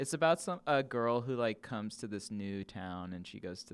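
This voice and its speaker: A man's ordinary speaking voice at medium pitch, with lively intonation and an American accent. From Los Angeles. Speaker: podcast guest. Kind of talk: casual chat.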